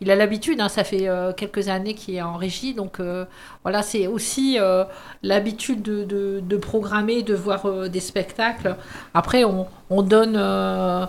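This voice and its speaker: A woman's ordinary speaking voice at medium pitch, fairly even in intonation and fairly slow in pace. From northern France, mining basin. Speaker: youth and culture centre staff. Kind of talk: radio interview.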